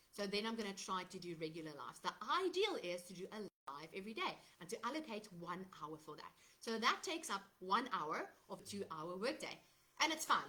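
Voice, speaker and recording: A woman with a South African accent speaks at a fairly quick pace and a medium pitch. Her pitch swings very widely, and her loudness shifts a lot. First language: Afrikaans. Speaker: digital marketer. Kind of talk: live stream sales talk. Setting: Facebook live from laptop. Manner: casual with fillers. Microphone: laptop microphone, unsure if working.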